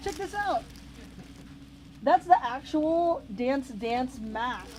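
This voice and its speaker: Very slowly, a woman speaks at a high pitch, her voice making very wide pitch swings. Noticeable background noise runs underneath. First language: not English. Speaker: video game reseller unboxing mail. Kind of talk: casual unboxing video. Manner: animated.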